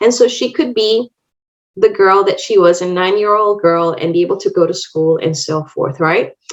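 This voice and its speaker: A woman speaks at a moderate pace in a Spanish accent. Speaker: optometrist and contact lens educator. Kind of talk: lecture. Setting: online webinar.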